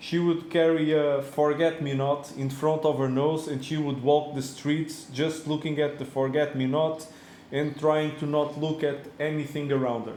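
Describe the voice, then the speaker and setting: With a non-native accent, a man with a fairly high pitch speaks in a monotone, flat way at a moderate pace, with audible room echo and noticeable background noise. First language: not English. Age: 40s. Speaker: reef tank hobbyist vlogger. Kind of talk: casual video monologue. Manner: halting, many fillers.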